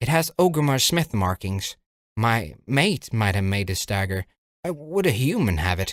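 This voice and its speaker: A man speaks at a moderate pace in a put-on character voice of medium pitch, recorded very cleanly against a silent background. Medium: read story. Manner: gruff, growling.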